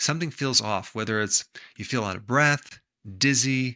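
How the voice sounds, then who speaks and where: With ordinary pitch variation, the tone comes across bright and sharp. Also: man, quiet background. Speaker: health educator. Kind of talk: explanatory health talk to camera. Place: home room.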